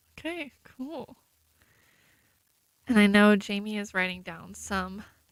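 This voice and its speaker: Soft-spoken and very slow, a woman at a medium pitch uses lively intonation while her loudness swings widely. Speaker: student journalist. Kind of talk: live election coverage commentary. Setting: radio studio.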